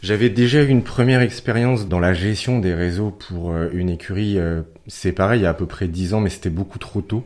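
A man's fairly low-pitched voice at a moderate pace, with ordinary pitch variation and a very clean recording with a silent background. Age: 30s. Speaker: horse breeder and community manager. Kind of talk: radio interview. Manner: halting.

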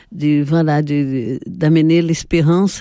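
Speaking with a Portuguese accent, a woman uses a very deep, low pitch and a dark, mellow tone, her fairly even intonation unfolding at a very slow pace in a very clean recording with a silent background. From Brazil. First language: Portuguese (speaking French). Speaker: sociologist and colorist. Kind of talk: interview. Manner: hesitant.

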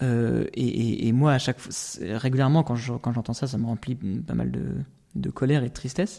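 A man talks at a moderate pace in a medium pitch. His tone is dark and mellow, with ordinary pitch variation. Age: 20s. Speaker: architect. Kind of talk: interview. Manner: halting.

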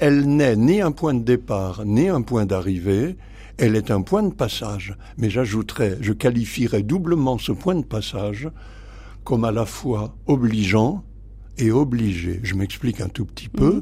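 Speaking at a medium pitch, a man has a somewhat breathy, dark, mellow tone and lively intonation. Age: 80s+. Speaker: priest and theology professor. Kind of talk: radio interview. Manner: halting, with many hesitations.

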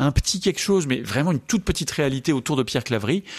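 Lively in intonation, a man talks at a very fast pace in a very clean recording with a silent background. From France. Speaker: Dominican friar and Islam scholar. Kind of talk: radio interview. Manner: halting, frequent repetitions.

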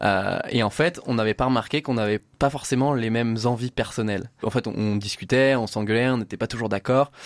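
With hardly any pauses, a man at medium pitch talks at a fairly quick pace and fairly even intonation, on a very clean recording with a silent background and a dry, close sound with no echo. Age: 20s. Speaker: adventurer and motivational speaker. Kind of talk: radio interview. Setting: studio. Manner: halting, with repetitions.

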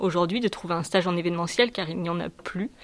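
In a plain, everyday voice, a woman talks at a fairly quick pace and medium pitch, her intonation fairly even. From southern France. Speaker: student. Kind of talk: testimony.

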